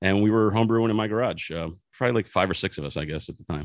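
The man's American accent comes through in a dry, close sound with no echo. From Philadelphia, US. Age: 40s. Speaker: craft brewery owner and brewer. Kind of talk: casual interview.

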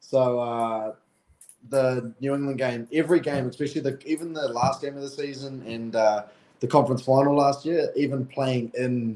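At a moderate pace, a man talks in a medium pitch with fairly even intonation and a dark, mellow tone. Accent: New Zealand. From New Zealand. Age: 20s. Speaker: professional rugby player. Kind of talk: interview.

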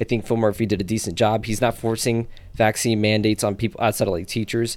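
A man with a New Jersey accent speaks very fast in a monotone, flat intonation on a very clean recording with a silent background. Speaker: podcast co-host. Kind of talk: casual chat.

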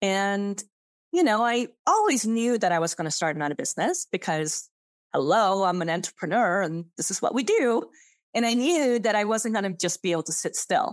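Using a Swedish accent, a woman speaks at medium pitch with lively intonation and a moderate pace. The recording is very clean, the background silent. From Sweden. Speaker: business coach and podcast host. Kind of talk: solo podcast monologue. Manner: enthusiastic.

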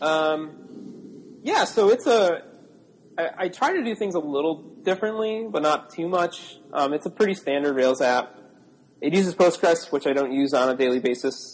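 Speaking in a normal speaking voice with an American accent, a man talks at a moderate pace and a fairly high pitch with lively intonation. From Buffalo area, upstate New York. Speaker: software developer. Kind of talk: casual interview chat.

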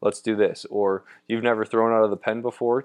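A man talks at a very fast pace with a Midwestern American accent. His pitch is fairly low, and his intonation is monotone and flat. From Ohio, Toledo area. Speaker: former pro baseball pitcher, college pitching coach. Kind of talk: interview.

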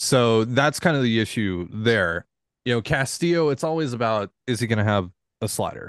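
A man with an American accent has a plain, everyday voice at medium pitch. He speaks at a moderate pace with lively intonation over a quiet background. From Washington State, US. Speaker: sports podcast host. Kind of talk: casual chat.

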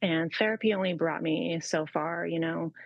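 At a moderate pace, a woman speaks in a fairly low pitch with fairly even intonation and an unremarkable speaking voice. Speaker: mentor. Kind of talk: casual chat.

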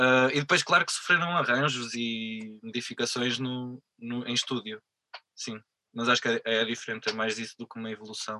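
Using a normal speaking voice, a man with a medium pitch talks at a moderate pace, his loudness swinging widely, in a dry, close sound with no echo. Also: fairly even intonation. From northern Portugal, Vila Real. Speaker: musician. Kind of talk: interview.

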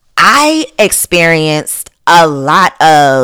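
This animated voice has a bright, sharp tone and lively intonation, recorded with a dry, close sound and no echo. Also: woman. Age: 30s. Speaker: podcast host and blogger. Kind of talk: casual monologue.

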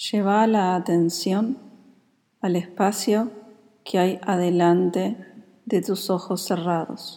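Very slow and marked by long, frequent pauses, a woman speaks in a calm, soothing tone that is dark and mellow. Her loudness stays very even. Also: medium pitch for a woman, fairly even intonation. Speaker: yoga nidra teacher. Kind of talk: guided meditation (Yoga Nidra). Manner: slow, soft-spoken, calm and soothing, with long pauses between cues.

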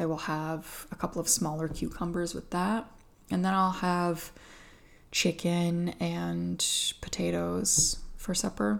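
Speaking very slowly, a woman talks with an Atlantic Canadian accent. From Atlantic Canada. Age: 30s. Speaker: podcast host. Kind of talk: casual solo podcast chat. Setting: at home.

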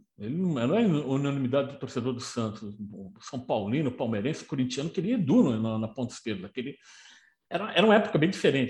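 A somewhat breathy man with very wide pitch swings. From Brazil, São Paulo city. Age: 60s. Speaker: football historian and author. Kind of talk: casual chat.

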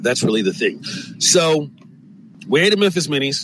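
An American-accented man speaks at a moderate pace. His tone is animated and his intonation lively. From US West Coast, San Francisco. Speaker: podcast host and comedian. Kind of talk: casual monologue.

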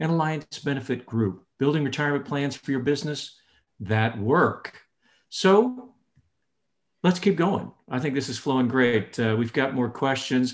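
This man has a medium pitch and an unremarkable speaking voice. He talks at a fairly slow pace with ordinary pitch variation. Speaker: virtual networking show host. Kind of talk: moderated interactive webinar. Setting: video call.

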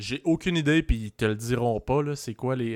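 A man speaks in a normal speaking voice at medium pitch. His pace is fairly slow. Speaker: podcast host. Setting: video call.

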